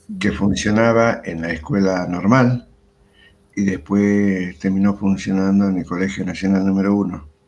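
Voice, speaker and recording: The delivery is fairly slow in pace with fairly even intonation. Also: man, fairly low pitch for a man. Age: 60s. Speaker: retired history teacher. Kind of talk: interview. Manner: hesitant, many fillers.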